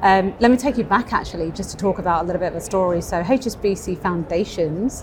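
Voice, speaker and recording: The speaker keeps a moderate pace with ordinary pitch variation over noticeable background noise. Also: woman. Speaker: bank innovation executive. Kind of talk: interview. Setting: live event venue.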